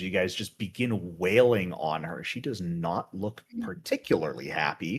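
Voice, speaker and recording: At a moderate pace and with ordinary pitch variation, a man talks in a plain, everyday voice. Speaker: game master. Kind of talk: tabletop roleplaying game session.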